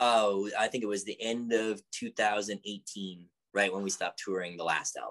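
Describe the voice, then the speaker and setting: A man speaks in a fairly low pitch with monotone, flat intonation. The sound is dry and close, with no echo. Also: moderate pace. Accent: Canadian. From Canada, Edmonton. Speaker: musician. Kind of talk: casual chat. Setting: video call.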